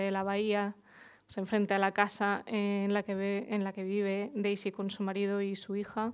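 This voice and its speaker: A woman's medium-pitched voice at a moderate pace over a quiet background. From Murcia, Spain; Spain. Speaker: journalist and writer; journalist. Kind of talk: panel discussion. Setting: bookshop event with audience. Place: shop. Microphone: headset.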